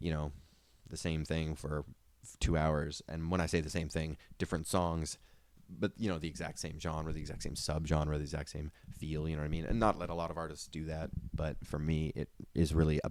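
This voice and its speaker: The speech moves at a fairly quick pace. Its intonation stays fairly even. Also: man, very deep, low pitch for a man. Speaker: podcast host and musician. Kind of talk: casual podcast monologue. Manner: rambling, many fillers.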